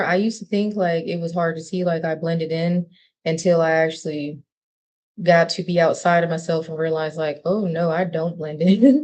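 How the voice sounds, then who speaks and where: Speaking with a fairly low pitch, a woman keeps a moderate pace. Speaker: spiritual content creator. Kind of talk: casual livestream talk. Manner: animated.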